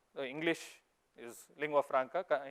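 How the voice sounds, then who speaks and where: A man with a Goan accent speaks at a fairly high pitch, the sound dry and close with no echo. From India, Mangalore. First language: Konkani. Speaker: investor. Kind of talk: conference talk. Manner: animated.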